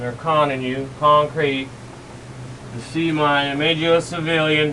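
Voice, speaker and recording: Mumbling at a fairly slow pace, a man with a fairly high pitch speaks in monotone, flat intonation, with audible room echo and noticeable background noise. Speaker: conspiracy video creator. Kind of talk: solo video monologue. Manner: rambling, mumbling.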